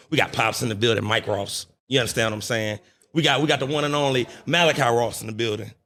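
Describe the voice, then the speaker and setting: A very fast man's voice in a St. Louis accent, bright and sharp in tone, medium in pitch, with ordinary pitch variation. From St. Louis, Missouri. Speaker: podcast host. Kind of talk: casual interview. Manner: animated.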